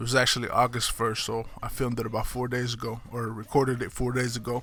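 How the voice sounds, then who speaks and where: A man with an American accent at a medium pitch, fairly quick and monotone with flat intonation. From Kansas City, Missouri, US Midwest. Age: 20s. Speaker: podcaster. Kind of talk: casual monologue. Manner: casual, hesitant with frequent fillers.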